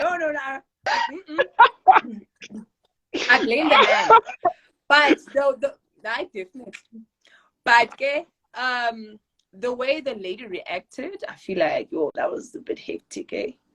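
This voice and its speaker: A woman with a South African accent speaks in a high, bright, sharp voice, raised and projected, with an animated tone and very wide pitch swings. Her pace is fairly slow, broken by long, frequent pauses. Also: big swings in loudness, dry, close sound with no echo. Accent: South African (Xhosa) English. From South Africa, East London, Eastern Cape. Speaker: actress and model. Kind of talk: casual interview chat.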